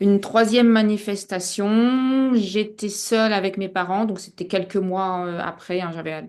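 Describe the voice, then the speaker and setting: A woman speaks at medium pitch with fairly even intonation. The background is quiet. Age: 60s. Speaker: hypnosis client. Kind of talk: personal testimony. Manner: halting, many hesitations.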